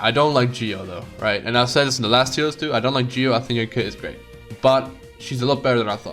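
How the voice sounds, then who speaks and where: Music plays behind a man who speaks very fast at medium pitch with fairly even intonation. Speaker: gaming content creator. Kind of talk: casual gaming commentary. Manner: casual, rambling.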